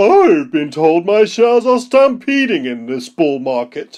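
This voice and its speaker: This put-on character voice sits fairly high in pitch and moves at a moderate pace. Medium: read story. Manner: bossy, haughty.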